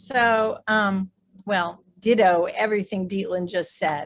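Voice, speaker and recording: A woman at a very slow pace with fairly even intonation, in a very clean recording with a silent background. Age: 60s. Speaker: artist and business owner. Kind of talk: panel discussion.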